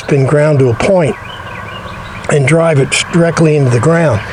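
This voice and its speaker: Over noticeable background noise, a man with an American accent and a fairly high pitch talks at a moderate pace with ordinary pitch variation. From US Midwest. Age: 70s. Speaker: DIY home repair vlogger. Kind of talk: casual how-to vlog narration.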